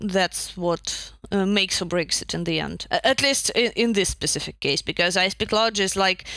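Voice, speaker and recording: This woman has a Russian accent and a bright, sharp tone. She speaks at a moderate pace and medium pitch with ordinary pitch variation. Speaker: narrative designer. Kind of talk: casual chat. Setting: video call.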